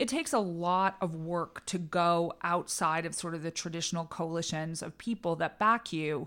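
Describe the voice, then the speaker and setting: With an American accent, a woman with an ordinary speaking voice and fairly low pitch talks at a moderate pace with hardly any pauses. Her pitch varies in an ordinary way, and the recording is very clean with a silent background. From New England, suburban Boston. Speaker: political communications strategist. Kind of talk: interview.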